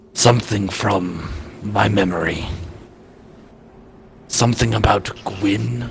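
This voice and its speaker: A man uses a put-on character voice that is raspy, with a very deep, low pitch. He speaks at a fairly slow pace with long, frequent pauses over clear background noise. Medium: machinima. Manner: curt, standoffish.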